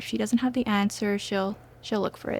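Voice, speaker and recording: The voice is soft-spoken and somewhat breathy. It moves at a moderate pace. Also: woman. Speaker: nursing student. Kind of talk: testimony. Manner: hesitant, with fillers.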